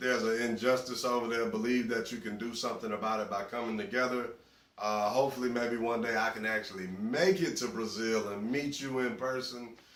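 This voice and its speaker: A man with a Southern US accent at a medium pitch, fairly quick, with ordinary pitch variation, noticeable background noise and audible room echo. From US South. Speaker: interviewee. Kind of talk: interview answers.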